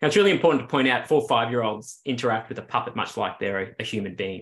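Bright and sharp in tone, a man speaks with an Australian accent. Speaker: clinical psychologist, researcher. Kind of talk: interview. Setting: video call. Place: home room. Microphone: video call.

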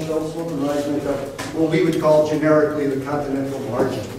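A man's voice in strong room echo with light background noise. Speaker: professor and marine geophysicist. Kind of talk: lecture. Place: classroom. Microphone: camera far.

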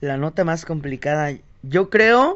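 A man with a fairly high pitch and ordinary pitch variation has an ordinary speaking voice. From Mexico, Tonalá, Jalisco. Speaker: singer. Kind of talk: interview conversation.

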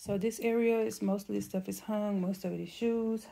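A woman speaks with a dark, mellow tone. Her pace is moderate. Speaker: home vlogger. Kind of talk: casual vlog chat. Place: home room. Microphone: phone near.

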